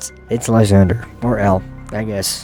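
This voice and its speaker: A man's fairly low voice over music in the background. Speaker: gaming YouTuber. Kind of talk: let's play gameplay commentary. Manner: casual.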